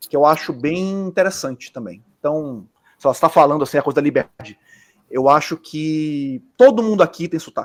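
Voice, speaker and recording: A man with a Bahian accent and a fairly high pitch, in a dry, close sound with no echo. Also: lively intonation, moderate pace. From Bahia, Brazil. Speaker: architect. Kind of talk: casual chat.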